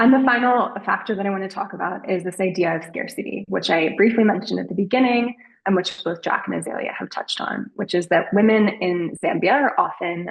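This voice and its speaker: A woman uses an ordinary speaking voice at a medium pitch. She talks at a fairly quick pace with ordinary pitch variation. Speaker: behavioral research presenter. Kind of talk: webinar presentation.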